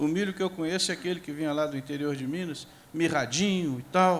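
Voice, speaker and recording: At a moderate pace, a man with a fairly high pitch and ordinary pitch variation talks in a plain, everyday voice. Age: 60s. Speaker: agricultural scientist and professor. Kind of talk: panel discussion. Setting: stage with audience.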